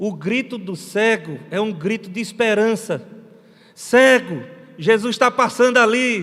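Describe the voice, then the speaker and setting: Talking at a very slow pace, a man uses a high pitch. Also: ordinary pitch variation. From Brazilian Northeast. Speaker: missionary pastor. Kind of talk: sermon.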